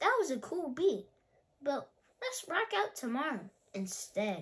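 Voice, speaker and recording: Putting on a character voice, a woman speaks high in pitch with very wide pitch swings. Her pace is fairly slow. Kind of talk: bedtime story. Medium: read story. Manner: laid-back, cool.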